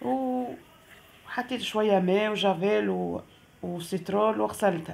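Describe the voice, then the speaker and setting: The voice belongs to a woman with a medium pitch. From Tunisia. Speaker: vlogger. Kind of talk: casual vlog narration.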